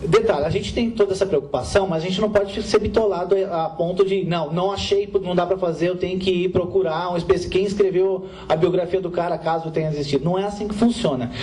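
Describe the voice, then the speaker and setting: A man with a high pitch and fairly even intonation, talking at a fairly quick pace with hardly any pauses, over noticeable background noise. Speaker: comics writer on a panel. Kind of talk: panel discussion answering audience. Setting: library event with live audience. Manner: loud, projecting to the room; halting, many restarts.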